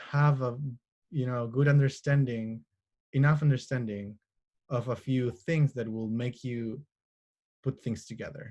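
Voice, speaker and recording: The voice, with a Spanish accent, is somewhat breathy, with fairly even intonation and long, frequent pauses. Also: man, medium pitch for a man. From Chile, Santiago. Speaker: astronomer. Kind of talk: interview answers. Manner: halting, many fillers.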